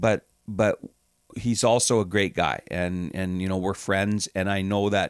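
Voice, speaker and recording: A man's fairly low, normal speaking voice at a fairly slow pace with fairly even intonation, in a very clean, dry, close recording with no echo and a silent background. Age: 60s. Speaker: hockey team general manager and owner. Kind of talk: casual interview.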